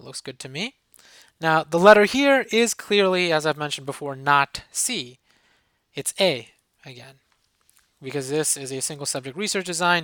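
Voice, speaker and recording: Long, frequent pauses break up the speech. The recording is very clean with a silent background. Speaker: professor. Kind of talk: tutorial. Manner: fast.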